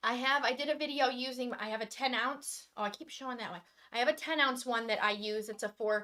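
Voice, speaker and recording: A high-pitched woman with an American accent, ordinary pitch variation and a moderate pace. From Michigan. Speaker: acrylic pouring artist. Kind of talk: live stream demonstration chat. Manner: loud.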